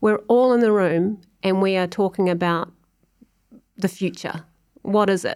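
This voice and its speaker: Captured in a very clean recording with a silent background, a woman in a New Zealand accent speaks at a fairly slow pace with a dark, mellow tone and fairly even intonation. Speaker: music industry executive. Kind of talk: casual interview.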